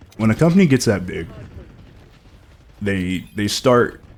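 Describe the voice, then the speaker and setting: Mumbling male speech at a moderate pace, animated in tone. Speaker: gaming commentator. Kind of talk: unscripted live commentary. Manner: mumbling a little; animated, ranting.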